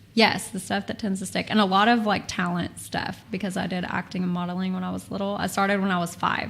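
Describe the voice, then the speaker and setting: A woman with a Texan accent, very fast pace and monotone, flat intonation. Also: medium pitch for a woman. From Texas. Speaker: former model and talent agency owner. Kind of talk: casual chat.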